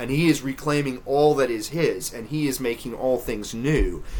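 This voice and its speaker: At a moderate pace, a man talks with a slight Southern US accent, a fairly high pitch and ordinary pitch variation. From US South, Memphis, Tennessee. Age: 30s. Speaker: theology lecturer and author. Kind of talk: interview.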